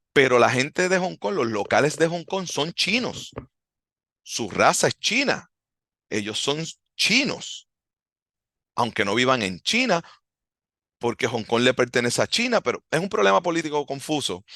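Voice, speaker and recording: Bright and sharp in tone, a man speaks at a fairly slow pace with very wide pitch swings and long, frequent pauses, the sound dry and close with no echo over a quiet background. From Puerto Rico. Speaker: martial arts instructor, podcast host. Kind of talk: podcast monologue. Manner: halting.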